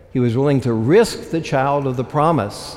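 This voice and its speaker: Noticeable background noise sits behind the speaker. A man talks with ordinary pitch variation. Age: 70s. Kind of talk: sermon. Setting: church.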